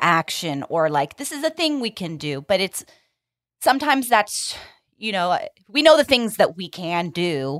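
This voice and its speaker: The sound is dry and close with no echo, in a very clean recording with a silent background. A woman speaks at a moderate pace in a medium pitch. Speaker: podcast host and interviewer. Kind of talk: interview.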